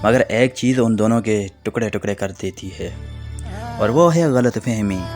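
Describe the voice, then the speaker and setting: A man talks at a medium pitch with ordinary pitch variation. Music plays in the background. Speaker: radio-style voice-over presenter. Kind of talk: motivational quotes narration.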